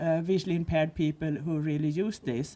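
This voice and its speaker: In a very clean recording with a silent background, a woman with a Swedish accent speaks in a dark, mellow tone with ordinary pitch variation. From Sweden. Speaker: visually impaired advocate. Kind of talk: panel discussion. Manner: halting.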